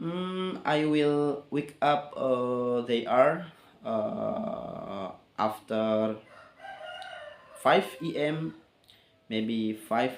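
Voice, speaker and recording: Over noticeable background noise, a man speaks very slowly with lively intonation and long, frequent pauses. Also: fairly high pitch for a man. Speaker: English learner vlogger. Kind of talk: casual monologue. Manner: halting.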